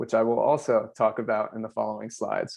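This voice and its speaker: A man speaks with an American accent and ordinary pitch variation, in an unremarkable speaking voice. His pace is fairly quick. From US Mid-Atlantic, Delmarva Peninsula. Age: 20s. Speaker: filmmaker and festival creative director. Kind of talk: presentation over video call.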